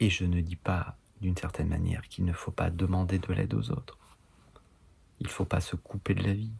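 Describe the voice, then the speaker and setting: A man with a very deep, low voice speaks somewhat breathily, with ordinary pitch variation and long, frequent pauses. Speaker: enneagram teacher. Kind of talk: online course lecture. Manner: halting.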